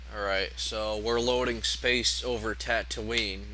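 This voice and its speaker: A man's voice carries audible room echo. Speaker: video game reviewer. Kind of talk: gameplay commentary.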